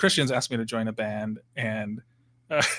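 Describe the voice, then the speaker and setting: A man with an American accent talks at a moderate pace. His medium-pitched voice has a bright, sharp tone. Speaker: musician and college professor. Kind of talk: casual interview chat. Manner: halting, many fillers.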